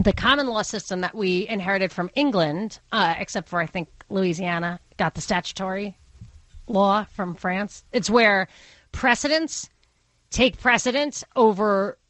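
With a Brooklyn accent, a woman speaks fairly slowly at a medium pitch, using ordinary pitch variation. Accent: Brooklyn accent, getting stronger. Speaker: radio talk show host. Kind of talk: call-in radio talk.

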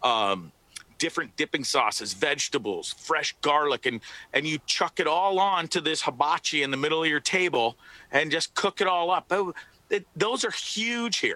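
At a moderate pace, a man's fairly high, bright, sharp voice makes very wide pitch swings while holding very even loudness, dry and close with no echo. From Canada. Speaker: voice actor. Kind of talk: casual chat.

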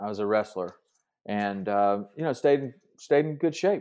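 A man speaks at medium pitch. He has a Southern US accent. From Tennessee. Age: 50s. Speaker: fishing TV host and fitness podcaster. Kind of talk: casual interview chat.

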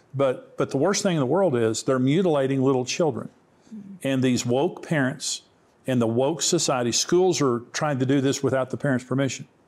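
Speaking in a plain, everyday voice, a man keeps a medium pitch, ordinary pitch variation, a moderate pace and very even loudness. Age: 60s. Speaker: Bible teacher and author. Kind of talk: interview on end-times prophecy.

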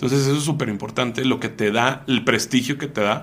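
Speaking at a fairly quick pace, a man with a medium-pitched voice shows vocal fry. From Mexico City. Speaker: e-commerce entrepreneur. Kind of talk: interview.

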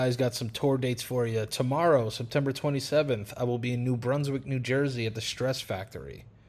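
A man with a New York accent, talking at a fairly quick pace. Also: medium pitch for a man, fairly even intonation. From New York City. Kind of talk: ad read.

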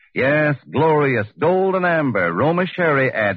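A man's medium-pitched voice, slightly husky at the edge, at a fairly slow pace.

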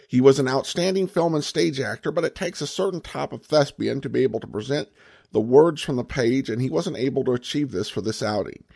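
Talking at a very fast pace, a man with a medium-pitched, dark, mellow tone and vocal fry uses lively intonation against a quiet background. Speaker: podcast host. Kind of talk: podcast hosting with intro and listener mail.

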